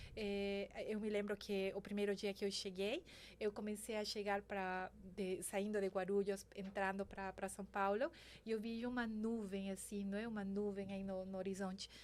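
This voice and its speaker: With a Spanish accent, a woman speaks at a moderate pace and medium pitch in a monotone, flat intonation. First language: Spanish (speaking Portuguese). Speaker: banking sustainability executive. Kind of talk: interview podcast. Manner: halting, with many fillers.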